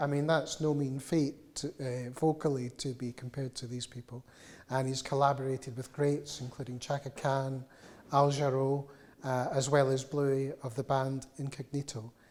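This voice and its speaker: A Glaswegian accent at a moderate pace. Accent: Glaswegian Scottish. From Scotland, Glasgow. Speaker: music journalist and interviewer. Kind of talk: live public interview. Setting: cultural institute room with live audience. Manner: hesitant, many fillers.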